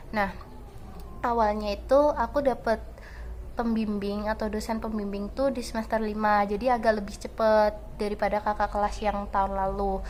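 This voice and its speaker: Speaking in a monotone with flat intonation, a woman holds a fairly high pitch at a moderate pace. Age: 20s. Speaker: student vlogger. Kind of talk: casual vlog storytelling.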